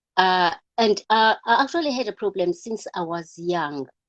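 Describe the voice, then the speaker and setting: This is a woman speaking. Her pitch shows ordinary variation. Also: dry, close sound with no echo. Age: 60s. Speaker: network marketing distributor. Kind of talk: testimony. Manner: halting.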